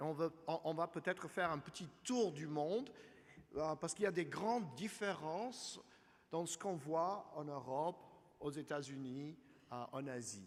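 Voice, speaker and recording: A man with an English accent and lively intonation, speaking at a fairly slow pace broken by long, frequent pauses. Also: fairly high pitch for a man. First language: English (speaking French). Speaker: energy finance analyst. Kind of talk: conference presentation. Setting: conference hall with audience. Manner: halting.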